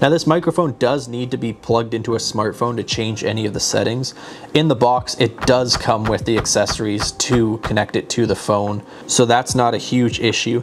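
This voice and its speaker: Over noticeable background noise, a man talks at a moderate pace with fairly even intonation. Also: medium pitch for a man. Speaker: tech YouTuber reviewing gear. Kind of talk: product review vlog. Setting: outdoors. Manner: casual, at normal low volume. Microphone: wireless lavalier mic far from camera.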